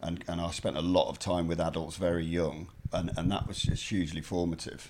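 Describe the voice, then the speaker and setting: A man speaks in an English Midlands accent with a very deep, low voice. His intonation stays monotone and flat. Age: 40s. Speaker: journalist and author. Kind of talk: interview conversation.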